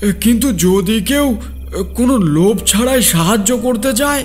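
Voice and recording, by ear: A man performs a cartoonish character voice with a high pitch. He speaks at a moderate pace while clear music plays in the background.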